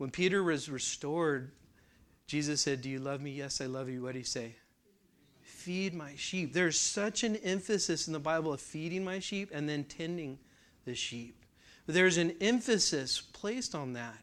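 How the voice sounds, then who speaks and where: An ordinary speaking voice with an American accent and lively intonation at a moderate pace, on a very clean recording with a silent background. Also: man, fairly high pitch for a man. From California. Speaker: church class teacher. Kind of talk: lecture.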